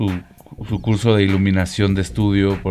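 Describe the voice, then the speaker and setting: Music in the background behind a man's fairly low voice at a moderate pace. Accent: Mexican. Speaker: photographer and photography teacher. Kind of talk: casual chat.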